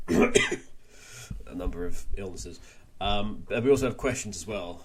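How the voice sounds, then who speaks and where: A man with an American accent speaks fairly slowly, his loudness swinging widely, with audible room echo. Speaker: podcast host. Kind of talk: casual chat.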